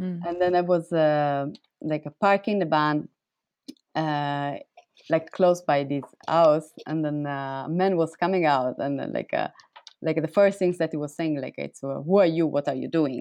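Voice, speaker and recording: A woman speaks in a Sicilian accent with a very deep, low pitch. Her intonation is fairly even and her pace fairly slow. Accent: Italian (Sicilian) accent in English. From Sicily, Italy. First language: Italian. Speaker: artist. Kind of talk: interview. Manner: halting, many fillers.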